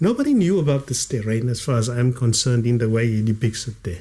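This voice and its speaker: A man's dark, mellow voice at medium pitch and moderate pace, in a very clean recording with a silent background. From South Africa, Cape Town area (Elsies River). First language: Kaaps (Cape Afrikaans). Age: 50s. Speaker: author and former detective, liberation struggle veteran. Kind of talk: podcast interview.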